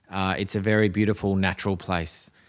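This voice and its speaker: Speaking in an Australian accent, a man uses a fairly low pitch and monotone, flat intonation. His pace is moderate, and the background is quiet. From Australia, Adelaide. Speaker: tourism board executive. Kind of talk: podcast interview. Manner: hesitant, many fillers.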